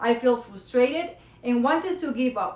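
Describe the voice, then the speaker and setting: A woman's high-pitched voice with a Spanish accent, at a moderate pace with ordinary pitch variation. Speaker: college student. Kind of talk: prepared speech. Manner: halting.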